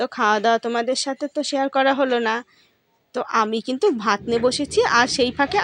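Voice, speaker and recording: The woman's high-pitched voice is captured with a dry, close sound and no echo. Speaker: home vlogger. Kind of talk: casual vlog narration. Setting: at home.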